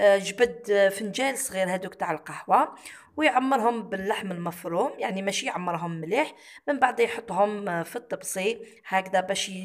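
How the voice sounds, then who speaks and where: The speaker has an ordinary speaking voice with ordinary pitch variation. The pace is fairly slow. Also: woman. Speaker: cooking vlogger. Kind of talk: vlog narration.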